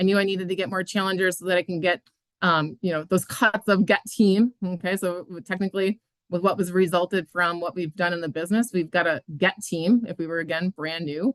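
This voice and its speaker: A woman speaks at a fairly quick pace and medium pitch in a dry, close sound with no echo. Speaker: fitness business coach. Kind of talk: online training call. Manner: fast; animated.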